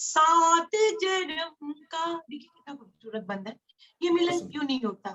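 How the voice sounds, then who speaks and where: Extremely high in pitch, a woman's voice shows very wide pitch swings and big swings in loudness. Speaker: poet. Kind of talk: interview talk between poems.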